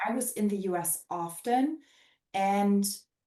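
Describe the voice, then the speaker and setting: This woman's voice has a dark, mellow tone and a fairly high pitch. Her pitch varies in an ordinary way. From Germany. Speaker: former exchange student. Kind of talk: casual chat. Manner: animated.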